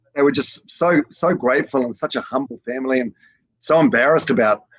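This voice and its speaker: With a New Zealand accent, a man talks at a medium pitch with ordinary pitch variation. The sound is dry and close with no echo. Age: 40s. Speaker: breakfast radio host. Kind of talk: casual interview chat. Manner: halting, many fillers and repeats.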